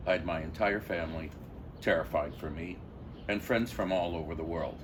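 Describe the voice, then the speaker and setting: Vocal fry runs through the voice at a moderate pace. Audible room echo is present. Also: man. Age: 70s. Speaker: passer-by interviewee. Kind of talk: street interview.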